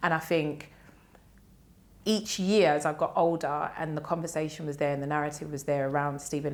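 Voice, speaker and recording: A woman's very deep, low voice in a South London accent, flat and monotone. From South London (Lee, southeast London). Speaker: cultural commentator and podcaster. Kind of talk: podcast interview.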